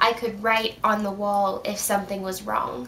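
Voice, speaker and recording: A woman's monotone, flat delivery at a very slow pace, with noticeable background noise. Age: 20s. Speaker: chronic illness vlogger. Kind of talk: casual talk to camera. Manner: friendly, chatty.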